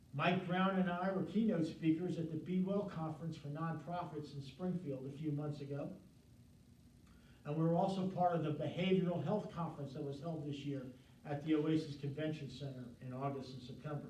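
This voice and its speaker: A man talks at a fairly quick pace in a fairly high voice with fairly even intonation. Noticeable background noise and audible room echo are present. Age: 60s. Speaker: volunteer show host for first responder and veteran wellness. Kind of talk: year-end review talk. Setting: studio, live in the room.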